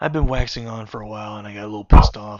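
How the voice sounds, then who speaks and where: Words come at a very fast pace. The speaker is a man with a fairly low voice. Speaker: vlogger. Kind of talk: casual monologue. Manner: rushed.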